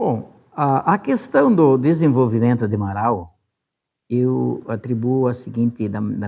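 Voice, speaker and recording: A man speaks at a medium pitch with ordinary pitch variation. It is an ordinary speaking voice. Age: 60s. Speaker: former city council president. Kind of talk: interview testimony. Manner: casual, with frequent fillers.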